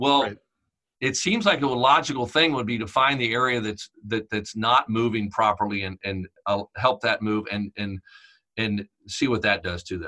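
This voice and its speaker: Using an unremarkable speaking voice, a man holds a medium pitch and a moderate tempo, his pitch varying in an ordinary way. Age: 50s. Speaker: chiropractor and instructor. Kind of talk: interview.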